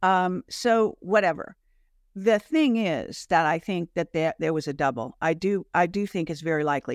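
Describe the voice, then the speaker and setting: A normal speaking voice from a woman, fairly low in pitch, with lively intonation at a moderate pace, dry and close with no echo, on a very clean recording with a silent background. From Michigan, US. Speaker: alternative media host and interviewer, former film industry worker. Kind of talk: casual conversation.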